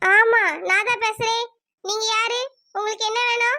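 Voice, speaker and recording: A woman uses a squeaky, cartoonish character voice with an extremely high pitch. She speaks at a fairly slow pace in a flat monotone. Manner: naive, forgetful.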